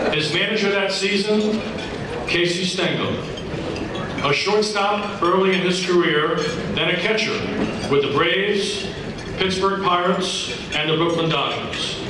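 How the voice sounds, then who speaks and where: A man talks in a raised, projected voice. Strong room echo and noticeable background noise surround him. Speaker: banquet announcer. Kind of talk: formal introduction speech. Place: hall. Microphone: pa.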